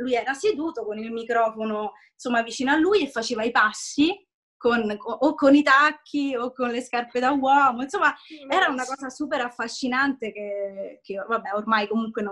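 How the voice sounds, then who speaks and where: A woman with a high voice speaks at a moderate pace against a quiet background. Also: ordinary pitch variation. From Italy. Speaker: voice actor. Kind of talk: interview answer. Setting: video call. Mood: warm, nostalgic storytelling. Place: home room. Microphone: video call.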